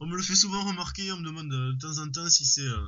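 Delivery comes at a moderate speed. Intonation shows ordinary pitch variation. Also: man. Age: 20s. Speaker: knife maker. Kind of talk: interview. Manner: halting, many hesitations.

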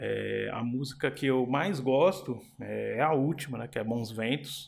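A man speaks fairly slowly, his pitch in the medium range. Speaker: podcast host, rapper and historian. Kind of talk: casual album review monologue. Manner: halting, many fillers and repetitions.

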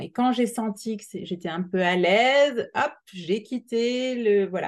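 Pitch variation is ordinary in this woman's speech. She keeps to a fairly slow pace. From Alsace, France. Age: 40s. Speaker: entrepreneur, permanent makeup artist. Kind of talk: interview. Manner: halting.

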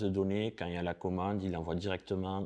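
Very fast pace from a man with a very deep, low pitch and a dark, mellow tone, quiet background. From southern France, Perpignan. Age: 40s. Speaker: e-commerce expert. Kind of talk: interview.

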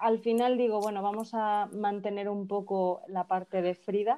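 The woman's voice rests at a medium pitch, and her intonation stays fairly even. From Mexico (Veracruz). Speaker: fashion brand founder. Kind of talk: casual interview.

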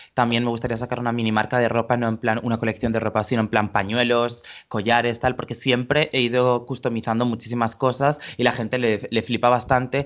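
A man talks fairly quickly at a medium pitch, with hardly any pauses. His intonation is monotone and flat. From Valencia, Spain. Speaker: fashion stylist. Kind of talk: casual interview.

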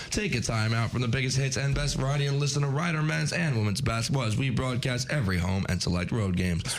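There is noticeable background noise as a man talks at a medium pitch with lively intonation and very even loudness. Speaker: college radio host. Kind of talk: casual chat. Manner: animated.

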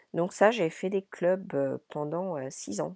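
A woman with a dark, mellow tone and vocal fry speaks at a fairly slow pace with lively intonation, on a very clean recording with a silent background and a dry, close sound with no echo. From France, Paris region (born in Brittany). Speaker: podcast host and business coach. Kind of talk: solo monologue podcast. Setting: wooden chalet in Ireland.

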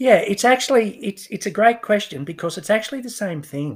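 Recorded very cleanly against a silent background, a man speaks at a moderate pace. His pitch swings very widely. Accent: Australian. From Australia, Newcastle NSW. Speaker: finance professor. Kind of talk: interview, explanatory.

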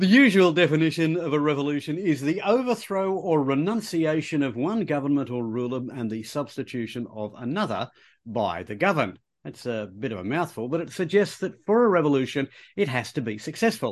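A fairly high-pitched man with an Australian accent, at a fairly quick pace with very wide pitch swings, over a quiet background. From Australia, Queensland. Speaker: history podcast co-host. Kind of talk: casual educational chat.

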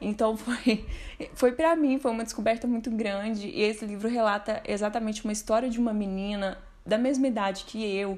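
Her voice fairly high and her intonation fairly even, a woman with an unremarkable speaking voice talks at a fairly quick pace. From Minas Gerais, Brazil (Uberlândia). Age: 20s. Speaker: book recommender. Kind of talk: recorded testimony.

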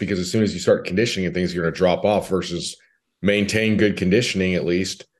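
A man with an American accent speaks very quickly over a quiet background. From California. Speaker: strength coach. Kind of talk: casual chat.

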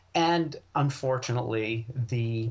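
A man talks in an American accent at a medium pitch. His voice is somewhat breathy, with ordinary pitch variation. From western Maine, US. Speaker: wild foods and plant medicine expert. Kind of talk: casual interview.

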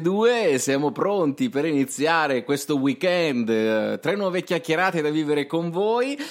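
In an Apulian accent, a man speaks at a fairly slow pace with a fairly high pitch and lively intonation. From Puglia, southern Italy. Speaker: radio host. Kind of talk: radio talk show.

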